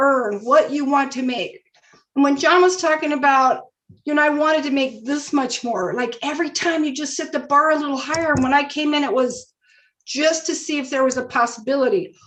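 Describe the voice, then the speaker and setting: A woman's high voice at a moderate pace, with ordinary pitch variation. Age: 60s. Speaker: network marketing distributor. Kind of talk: testimony. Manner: animated.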